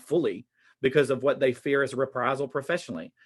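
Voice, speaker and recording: In a Southern US accent, the speaker talks at a very fast pace. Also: man. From US South. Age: 40s. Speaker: teacher. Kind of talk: conference presentation.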